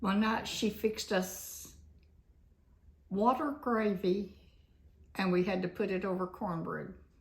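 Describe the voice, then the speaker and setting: Somewhat breathy, the voice proceeds at a fairly slow pace. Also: woman. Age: 80s+. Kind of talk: interview answer.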